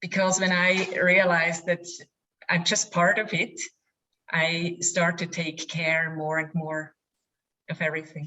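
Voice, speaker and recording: With a non-native accent and a fairly low pitch, a woman speaks at a fairly slow pace in monotone, flat intonation, broken by long, frequent pauses. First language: not English. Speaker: audience member asking a question. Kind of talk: question in webinar.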